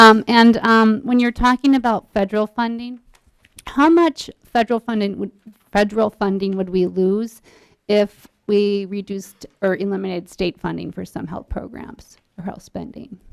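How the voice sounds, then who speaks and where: A woman with an ordinary speaking voice talks at a medium pitch and a moderate pace, with ordinary pitch variation. Her loudness swings a lot, and the sound is dry and close with no echo. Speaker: state legislator. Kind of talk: committee questioning.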